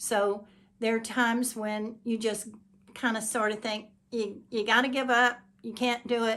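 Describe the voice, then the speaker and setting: A woman talks at a moderate pace with a fairly high pitch. Her intonation is monotone and flat. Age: 70s. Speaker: YouTuber, hobby painter. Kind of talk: motivational talk to camera. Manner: halting, with self-corrections.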